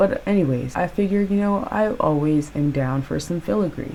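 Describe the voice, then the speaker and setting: Noticeable background noise surrounds a woman's voice. She speaks at a moderate pace with ordinary pitch variation. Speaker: painting youtuber. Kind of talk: casual vlog commentary. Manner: casual, chatty.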